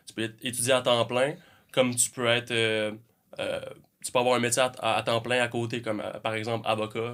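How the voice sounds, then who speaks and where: A man's medium-pitched voice moves at a moderate pace with monotone, flat intonation. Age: 20s. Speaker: army reservist and student. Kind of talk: casual interview.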